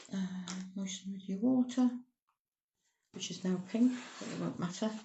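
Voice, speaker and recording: A woman speaks at a medium pitch and a moderate pace, with fairly even intonation. Her voice is somewhat breathy, and its loudness swings widely. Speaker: cake decorating tutor. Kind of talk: tutorial.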